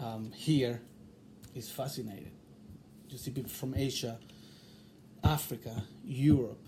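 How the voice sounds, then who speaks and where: With long, frequent pauses at a fairly slow pace, a man talks in a somewhat breathy, medium-pitched voice of dark, mellow tone, with ordinary pitch variation and big swings in loudness. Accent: slight Chilean. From Chile. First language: Spanish. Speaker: interviewee. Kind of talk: interview. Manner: halting.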